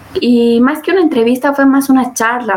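Noticeable background noise sits under speech that has ordinary pitch variation and a moderate pace. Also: woman. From Bolivia. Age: 20s. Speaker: student tech community leader. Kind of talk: interview.

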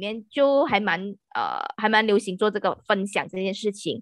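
A woman's fairly high-pitched, unremarkable speaking voice at a moderate pace. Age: 30s. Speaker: podcast guest. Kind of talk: casual chat.

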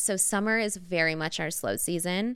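A woman with an American accent and a bright, sharp tone speaks at a moderate pace with fairly even intonation, in a very clean recording with a silent background. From Southern California, LA suburbs. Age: 30s. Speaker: spray tan studio owner. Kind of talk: casual chat.

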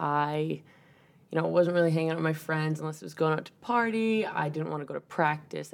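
A woman speaks with an American accent. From Massachusetts, south of Boston. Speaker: college softball player. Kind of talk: interview about mental health. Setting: in person recording.

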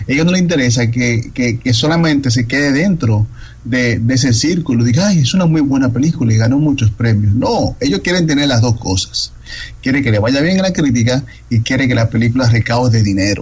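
Over noticeable background noise, a man talks at a fairly quick pace with a medium pitch and very even loudness. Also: ordinary pitch variation. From Dominican Republic. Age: 30s. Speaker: film critic. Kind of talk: interview.

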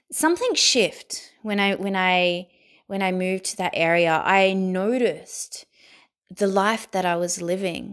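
On a very clean recording with a silent background, a woman speaks with an Australian accent. Her pace is fairly slow and her intonation fairly even. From Sydney, Australia. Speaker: guest sharing mental health story. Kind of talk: personal testimony.

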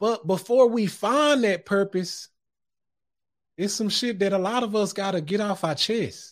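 In a very clean recording with a silent background, a man talks at a high pitch with ordinary pitch variation. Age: 30s. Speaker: podcast host. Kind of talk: casual live-streamed talk show monologue. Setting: home studio, live stream. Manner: animated.

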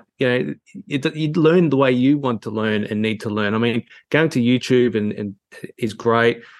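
The pace here is moderate. The speaker is a man with an Australian accent. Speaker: photography teacher.

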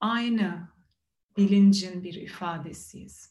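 A woman's calm, somewhat breathy voice at a medium pitch, at a very slow pace. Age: 30s. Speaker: meditation teacher. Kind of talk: meditation talk. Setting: video call. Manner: calm, reflective with hesitations.

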